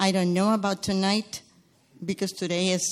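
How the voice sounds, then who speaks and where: The speaker has a Spanish accent, recorded against a quiet background. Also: woman. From Guatemala. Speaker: churchgoer sharing testimony. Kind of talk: testimony. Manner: halting.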